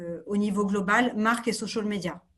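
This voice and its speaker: The pace is moderate. A woman speaks in a somewhat breathy voice. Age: 30s. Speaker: marketing executive. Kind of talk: interview.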